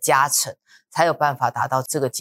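A woman with a very deep, low pitch talks on a very clean recording with a silent background. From Taiwan, New Taipei (Luzhou). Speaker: real estate research director. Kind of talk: casual discussion podcast.

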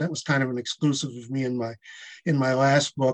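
This man speaks in a Midwestern American accent. His pitch is fairly high. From Michigan. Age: 70s. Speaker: author. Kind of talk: interview.

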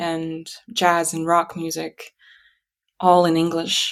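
A woman in a Russian accent, fairly low-pitched and very slow. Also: very clean recording, silent background. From Kazakhstan. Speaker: musician and writer. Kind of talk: interview conversation. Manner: hesitant, many fillers.

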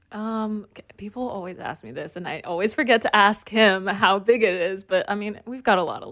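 A woman of medium pitch speaks at a moderate pace with hardly any pauses, ordinary pitch variation, and big swings in loudness. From Saskatchewan, Canada. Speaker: country singer. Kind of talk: casual interview chat.

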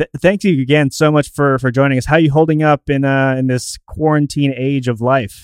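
Here is a man with an unremarkable speaking voice and a fairly high pitch. He talks at a fairly quick pace with fairly even intonation and hardly any pauses. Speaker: wrestling podcast host. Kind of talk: casual podcast chat and interview.

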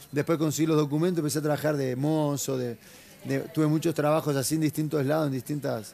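Here a man speaks at a very fast pace with a dark, mellow tone. His pitch is fairly high and his intonation is monotone and flat. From Argentina, La Plata. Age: 30s. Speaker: mixed martial arts fighter. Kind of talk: interview.

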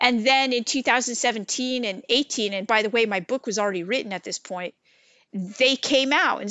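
In an American accent, a woman talks at a fairly high pitch with ordinary pitch variation. Hers is an unremarkable speaking voice. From California. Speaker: religious studies professor. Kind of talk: interview.

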